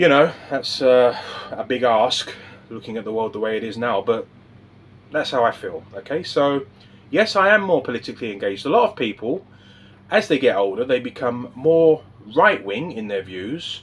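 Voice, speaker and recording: Pitched at a medium level, a man's voice moves through very wide pitch swings. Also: moderate pace. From England. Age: 50s. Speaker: political vlogger. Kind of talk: casual monologue to camera. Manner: hesitant, with fillers and restarts.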